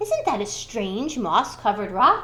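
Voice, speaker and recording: Over light background noise, a woman uses a put-on character voice pitched fairly high. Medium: read story.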